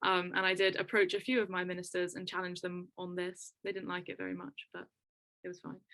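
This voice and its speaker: In a bright, sharp tone, a woman delivers her words at a fairly quick pace. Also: medium pitch for a woman. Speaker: climate and health activist. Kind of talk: webinar panel talk. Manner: fast; animated.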